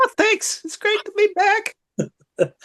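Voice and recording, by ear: An extremely high, squeaky, put-on character voice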